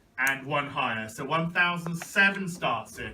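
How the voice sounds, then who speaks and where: Against noticeable background noise, a man speaks at a fairly slow pace with a high pitch and lively intonation. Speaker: auctioneer. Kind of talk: auction bid calling.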